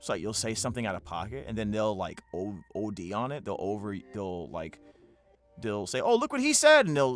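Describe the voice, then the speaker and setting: With music playing behind him, the man's pitch varies by an ordinary amount. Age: 40s. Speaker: voice actor and streamer. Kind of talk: casual livestream chat. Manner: halting, many restarts.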